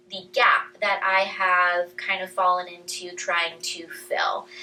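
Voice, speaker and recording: A woman's speech comes with noticeable background noise. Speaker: chiropractor hosting a women's health talk. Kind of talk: casual talk to a live audience.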